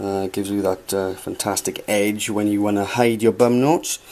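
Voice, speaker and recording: A man with a Welsh accent, a fairly low pitch and fairly even intonation. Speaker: guitarist showing his gear. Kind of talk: gear demonstration. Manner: hesitant, many fillers.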